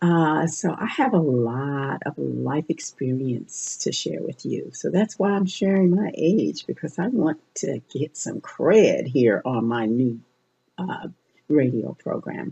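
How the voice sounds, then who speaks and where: A woman speaks at a very slow pace in a very deep, low pitch. Her somewhat breathy voice has very wide pitch swings. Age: 60s. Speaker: radio host and life coach. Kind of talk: personal monologue on radio show. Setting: internet radio show. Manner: halting.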